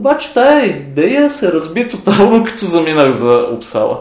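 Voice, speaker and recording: A man's speech swings very widely in pitch, with audible room echo and noticeable background noise around it. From Bulgaria. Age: 30s. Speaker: university chemistry lecturer. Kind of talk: lab demonstration; interview. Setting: university lab.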